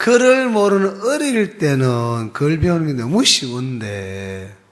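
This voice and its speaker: A man with a strong Gyeongsang accent speaks at a very slow pace and a fairly high pitch. His pitch swings very widely, over noticeable background noise. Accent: strong Gyeongsang dialect pronunciation. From Gyeongsang region, South Korea. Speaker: pastor. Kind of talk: sermon.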